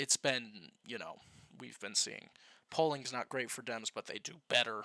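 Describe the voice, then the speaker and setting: The voice has a bright, sharp tone and ordinary pitch variation. The sound is dry and close, with no echo. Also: man. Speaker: political commentator. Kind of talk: casual talk to camera.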